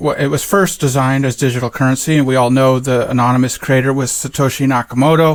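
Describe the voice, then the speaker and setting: Talking at a fairly quick pace, the man has a fairly high voice. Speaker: crypto educator. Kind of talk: tutorial. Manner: soft-spoken.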